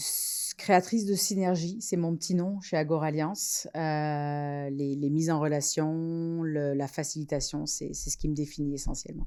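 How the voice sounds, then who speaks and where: Very deep and low for a woman, her dark, mellow voice moves at a fairly slow pace with hardly any pauses and fairly even intonation, in a very clean recording with a silent background. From France. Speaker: entrepreneur, incubator co-founder. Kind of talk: podcast interview.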